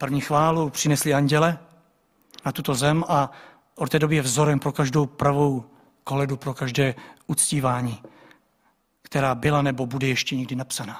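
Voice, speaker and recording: A man with a fairly high voice, flat monotone delivery, moderate pace and long, frequent pauses. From Czech village. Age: 40s. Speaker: pastor. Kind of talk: sermon.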